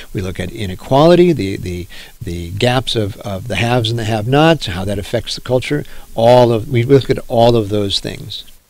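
Audible room echo colors the voice of a man speaking at a medium pitch and moderate pace with ordinary pitch variation. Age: 60s. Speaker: professor. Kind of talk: lecture. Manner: halting.

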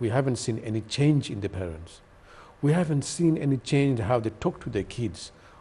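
A man with a Sylheti accent talks at a moderate pace in a dark, mellow, somewhat breathy tone, his intonation lively. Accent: Bangladeshi (Sylheti) English. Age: 50s. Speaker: TV talk show host. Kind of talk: studio panel discussion. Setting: studio. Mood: earnest, concerned. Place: studio. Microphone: lapel.

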